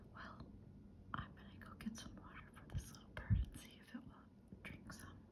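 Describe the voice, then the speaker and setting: Every word comes out in a whisper. It moves along at a moderate pace. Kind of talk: ASMR nature commentary. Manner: whispered. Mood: gentle, caring. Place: garden. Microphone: phone near.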